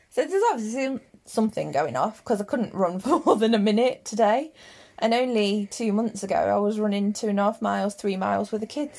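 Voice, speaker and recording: A woman with an English accent speaks at a fairly quick pace and fairly high pitch, with ordinary pitch variation, on a very clean recording with a silent background. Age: 30s. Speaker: podcast co-host and hairdresser. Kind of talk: casual chat. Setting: at home in the bedroom.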